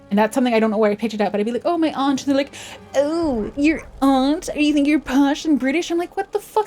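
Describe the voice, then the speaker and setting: Talking at a very fast pace over music in the background, a woman with a slight Canadian accent uses a high pitch. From Canada, West Coast. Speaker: vtuber streamer. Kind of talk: casual livestream chat. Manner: casual, conversational.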